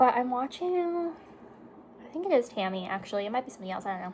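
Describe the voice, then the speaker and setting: A woman's lively intonation amid noticeable background noise. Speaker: beauty vlogger. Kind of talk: casual chat. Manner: slurring words.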